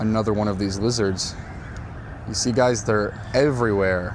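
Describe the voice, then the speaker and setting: Over noticeable background noise, a man with an American accent and fairly low pitch speaks at a moderate pace with ordinary pitch variation. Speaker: English teacher. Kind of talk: casual talk to camera. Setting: outdoors.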